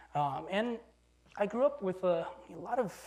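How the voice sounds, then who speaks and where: High-pitched for a man, his voice makes very wide pitch swings. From China (Beijing), moved to US at nine. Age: 40s. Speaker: professor and designer. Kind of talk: lecture. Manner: casual, with hesitations.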